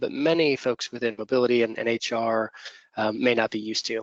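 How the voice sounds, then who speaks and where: With an American accent, a man speaks at medium pitch and a moderate pace, with ordinary pitch variation, in a dry, close recording with no echo. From US. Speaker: company co-founder and executive. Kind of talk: webinar presentation. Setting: online webinar. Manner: hesitant, many filler words.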